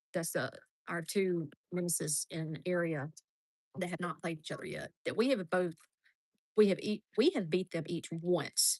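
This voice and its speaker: In a dry, close recording with no echo, a woman with an Alabama accent speaks at a fairly low pitch and moderate pace, with ordinary pitch variation and long, frequent pauses. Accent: US South (Alabama). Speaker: softball game commentator. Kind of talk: live commentary. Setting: outdoors at softball field.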